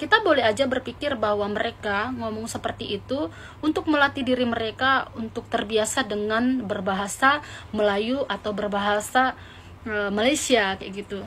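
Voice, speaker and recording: At a moderate pace, a woman with a fairly high voice and ordinary pitch variation speaks as noticeable background noise runs behind her. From Indonesia (Batak). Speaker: vlogger. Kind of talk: vlog commentary.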